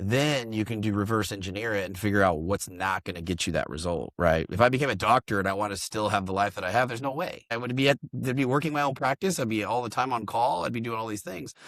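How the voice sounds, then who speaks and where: With an American accent, a man with a fairly low pitch talks at a very fast pace with ordinary pitch variation and hardly any pauses. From Oklahoma, US. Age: 30s. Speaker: real estate investor and business coach. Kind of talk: podcast interview. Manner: casual, filler-heavy.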